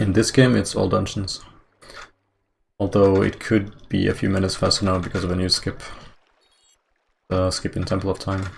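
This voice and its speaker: Mumbling in a very deep, low, somewhat breathy voice, a man talks at a moderate pace in a monotone, flat delivery broken by long, frequent pauses. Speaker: speedrunner streamer. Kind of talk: casual live-stream commentary.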